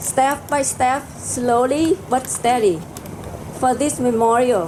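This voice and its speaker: A woman with a Vietnamese accent talks very slowly in a high pitch with ordinary pitch variation. Noticeable background noise runs underneath. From South Vietnam. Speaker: community organization leader. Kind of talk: ceremony speech. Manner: halting.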